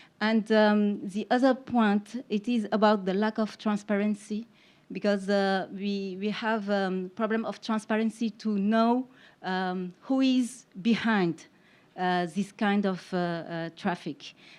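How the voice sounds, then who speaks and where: A woman's medium-pitched voice with a French accent, very slow and fairly even in intonation, against a quiet background. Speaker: investigative journalist. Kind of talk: conference panel presentation. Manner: halting, many fillers.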